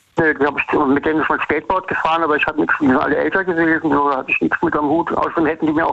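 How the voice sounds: Rushing at a very fast pace, a man with vocal fry talks at a fairly high pitch with little pitch movement.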